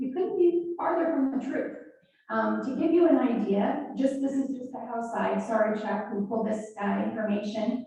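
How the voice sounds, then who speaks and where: A loud, high-pitched woman speaks at a moderate pace with lively intonation, and audible room echo surrounds her. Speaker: state legislator. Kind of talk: town hall speech. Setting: town hall with live audience and online viewers.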